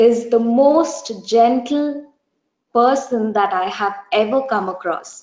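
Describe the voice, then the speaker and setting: A woman with an Indian accent speaks at a very slow pace with ordinary pitch variation, with audible room echo against a quiet background. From India, Bangalore. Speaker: church member giving testimony. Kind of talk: testimony. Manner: hesitant, many fillers. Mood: earnest, gentle, reflective. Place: home room. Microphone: webcam.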